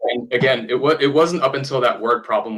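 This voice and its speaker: Speaking at a very fast pace, a man keeps to ordinary pitch variation. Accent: German. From Germany. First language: German. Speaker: opera singer and voice actor. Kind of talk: podcast interview. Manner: halting.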